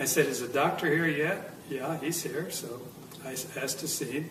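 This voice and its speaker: A man with an American accent talks at a fairly quick pace, fairly high in pitch and with fairly even intonation. Noticeable background noise and audible room echo fill the recording. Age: 70s. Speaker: near-death experience survivor. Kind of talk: testimony. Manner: halting.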